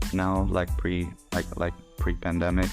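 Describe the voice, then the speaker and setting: With music playing behind him, a man talks at a fairly slow pace. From Singapore. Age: 40s. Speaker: financial planning analyst. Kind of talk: interview answer.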